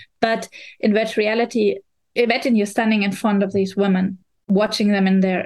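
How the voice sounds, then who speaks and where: A woman speaks in a German accent at a moderate pace. Her medium-pitched voice stays monotone, with flat intonation. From Germany. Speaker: VR journalist and critic. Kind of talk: casual chat.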